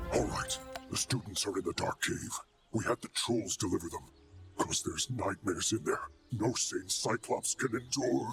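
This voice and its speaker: Over faint background music, a man does a put-on character voice at a moderate pace and medium pitch. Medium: video game.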